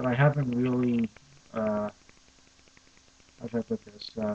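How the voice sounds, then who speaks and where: A man talks in a monotone, flat intonation at a medium pitch. The sound is dry and close, with no echo. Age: young. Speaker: language learner. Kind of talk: casual talk to camera.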